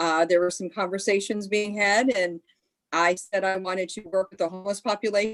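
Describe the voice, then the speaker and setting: With an American accent, a woman uses an ordinary speaking voice at a moderate pace and medium pitch. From Pennsylvania. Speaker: city homeless programs coordinator. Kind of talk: panel introduction.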